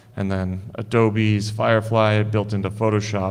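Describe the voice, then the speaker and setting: Amid audible room echo, a man with a General American accent speaks in a fairly low, monotone, flat voice. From Idaho, US. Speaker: digital artist and photographer. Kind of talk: conference presentation. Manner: casual.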